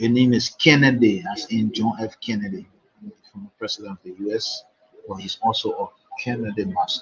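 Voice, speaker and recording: A man talks at a fairly quick pace with a Nigerian accent. His loudness swings widely. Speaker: chess commentator. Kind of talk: live commentary.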